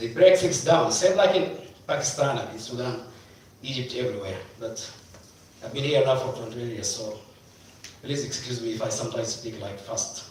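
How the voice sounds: Strong room echo fills the recording, and the tone is slightly mellow. The pace is moderate, with ordinary pitch variation. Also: man, medium pitch for a man.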